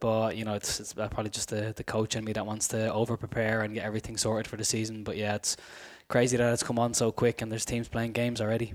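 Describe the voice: A man speaks at a fairly quick pace in a fairly low pitch. His voice shows little pitch movement.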